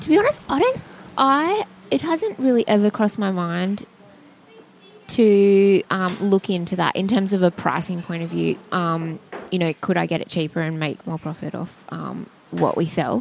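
Over noticeable background noise, a woman speaks at a moderate pace with an Australian accent. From Sydney, Australia. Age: 30s. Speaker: cafe owner. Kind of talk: interview. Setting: in a cafe.

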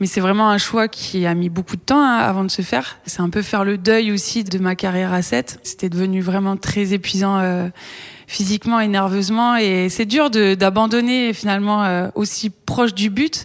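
Speaking fairly slowly, a woman holds a very even loudness, a medium pitch and ordinary pitch variation. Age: 30s. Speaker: rugby player. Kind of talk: interview. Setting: rugby training centre. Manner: halting.

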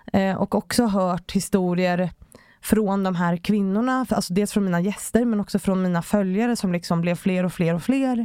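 The recording is very clean, with a silent background and a dry, close sound with no echo. A woman speaks in a dark, mellow tone with fairly even intonation. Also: medium pitch for a woman, moderate pace. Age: 30s. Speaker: author and public speaker. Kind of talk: podcast interview.

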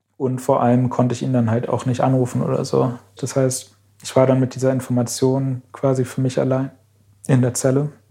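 At a moderate pace, a man of medium pitch speaks in a monotone, flat intonation with a dark, mellow, somewhat breathy tone. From Berlin, Germany. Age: 20s. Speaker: climate activist. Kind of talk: interview.

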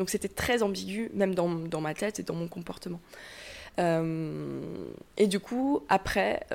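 At a fairly slow pace, a woman talks in a fairly low pitch with an ordinary speaking voice. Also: very clean recording, silent background. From southwestern France. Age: 20s. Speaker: YouTuber on self-acceptance. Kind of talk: interview conversation.

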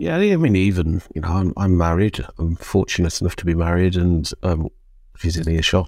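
Recorded very cleanly against a silent background, a man with a British accent and a very deep, low pitch speaks at a moderate pace in a monotone, flat way. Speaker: men's community charity leader. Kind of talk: interview. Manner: halting.

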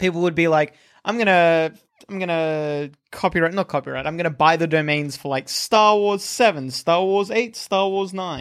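With an Australian accent, a man speaks in an animated tone at a high pitch with ordinary pitch variation, on a very clean recording with a silent background. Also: moderate pace. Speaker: podcast host. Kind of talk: casual comedic chat. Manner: joking, animated.

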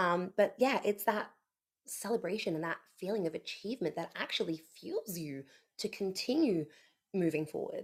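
A woman speaks in an ordinary speaking voice, medium in pitch and moderate in pace. Her intonation is lively, and the recording is very clean with a silent background. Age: 30s. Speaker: podcast co-host. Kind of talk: casual chat.

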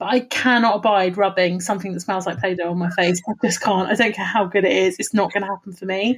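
Speaking very fast with hardly any pauses, a woman sounds somewhat breathy. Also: medium pitch for a woman, fairly even intonation. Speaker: podcast co-host. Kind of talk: casual chat. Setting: remote recording via video call.

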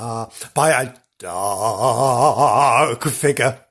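A man speaks in a playful, theatrical tone with vocal fry, in a very clean recording with a silent background. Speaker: podcast host. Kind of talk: comic ghost-story narration. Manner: animated, laughs often.

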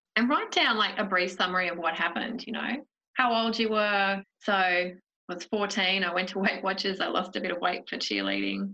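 At a moderate pace, a woman with an Australian accent speaks in a medium pitch. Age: 40s. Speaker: podcast host. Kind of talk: casual chat; scripted narration. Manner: animated.

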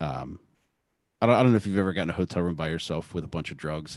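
A man with a very deep, low voice and vocal fry at a very fast pace, on a very clean recording with a silent background. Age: 40s. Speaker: podcast guest sharing drug and recovery story. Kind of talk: casual interview chat.

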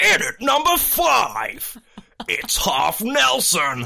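This put-on character voice moves at a very slow pace. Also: man, extremely high pitch for a man. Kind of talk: X Factor announcer style. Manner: dramatic.

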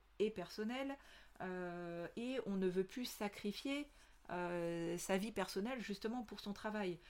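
A very slow pace with ordinary pitch variation, on a very clean recording with a silent background. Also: woman. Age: 40s. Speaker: podcast host, business consultant. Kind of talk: solo podcast monologue. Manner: hesitant, many fillers.

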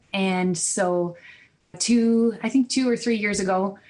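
With a Canadian accent, a woman talks at a fairly slow pace in an unremarkable speaking voice with fairly even intonation. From Ontario, Canada. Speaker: wedding videographer. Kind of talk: interview.

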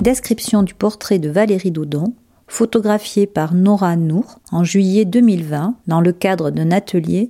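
At a very slow pace, a woman speaks with a medium pitch and a dark, mellow tone. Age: 50s. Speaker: former clothing retail worker writing a letter. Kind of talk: reading aloud. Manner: formal.

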